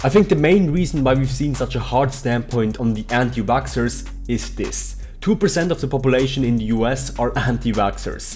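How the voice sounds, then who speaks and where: With music in the background, a man talks at a moderate pace with hardly any pauses, his medium pitch carrying lively intonation. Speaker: vegan fitness coach. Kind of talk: commentary video to camera. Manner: casual, argumentative.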